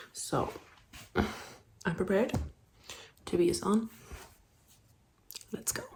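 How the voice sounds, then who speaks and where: A woman's very slow whispering, broken by long, frequent pauses. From Germany. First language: German. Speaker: vlogger. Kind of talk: casual vlog narration. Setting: in a car.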